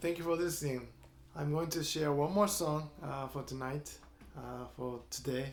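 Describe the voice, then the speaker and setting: Speaking at a moderate pace with a Japanese accent, a man is heard with audible room echo. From Japan, Kyoto. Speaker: guitarist and composer. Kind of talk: storytelling between songs in a showcase performance. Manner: halting, frequent uh fillers.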